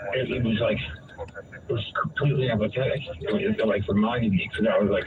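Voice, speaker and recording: Very fast speech over noticeable background noise. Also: man. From New England, Vermont. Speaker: caller with brain injury. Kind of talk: casual conversation, personal story. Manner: halting, many fillers.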